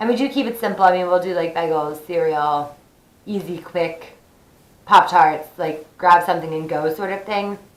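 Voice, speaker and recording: A woman's fairly low-pitched voice at a moderate pace, with noticeable background noise. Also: ordinary pitch variation. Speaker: vlogger. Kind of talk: casual tutorial. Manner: chatty, informal.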